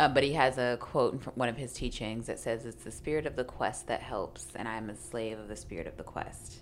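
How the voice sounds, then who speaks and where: With music in the background, a woman with an American accent talks at a fairly quick pace in a very deep, low voice, keeping her intonation fairly even while her loudness swings widely. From Kansas City, Kansas (Wyandotte County). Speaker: poet and writer. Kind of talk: casual chat.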